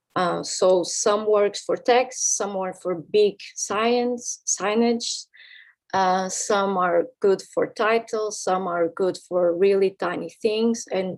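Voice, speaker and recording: Against a quiet background, a woman talks very slowly at a medium pitch. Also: fairly even intonation. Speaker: graphic designer giving a workshop. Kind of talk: lecture. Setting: workshop with audience. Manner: halting.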